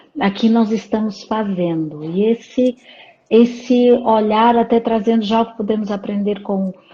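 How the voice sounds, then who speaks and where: Over noticeable background noise, a woman with a fairly high pitch speaks at a fairly slow pace with fairly even intonation. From Portugal, Porto. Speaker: psychologist and leadership coach. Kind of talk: interview in a live stream. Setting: live stream.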